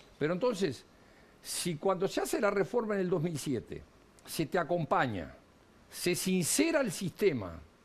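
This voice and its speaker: Using lively intonation, a man speaks in a high voice at a moderate pace, with long, frequent pauses. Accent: Uruguayan. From Uruguay. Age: 60s. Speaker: economist and politician. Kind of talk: TV interview.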